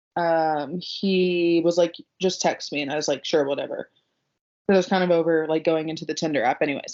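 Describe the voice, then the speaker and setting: A woman speaks at a fairly quick pace and a fairly low pitch. Her intonation stays fairly even. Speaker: podcast co-host. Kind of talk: casual chat. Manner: loud.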